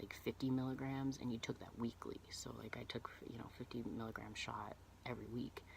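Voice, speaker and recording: A man delivers his words in a monotone, flat intonation at a medium pitch and a moderate pace. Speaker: transgender vlogger and cosplayer. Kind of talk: personal vlog testimony. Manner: halting, many fillers and restarts.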